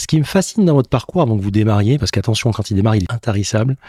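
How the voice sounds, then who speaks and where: A man speaks at a very fast pace in a dark, mellow, somewhat breathy tone at medium pitch with lively intonation. The recording is very clean with a silent background and a dry, close sound with no echo. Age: 40s. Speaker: podcast host. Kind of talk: interview. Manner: animated.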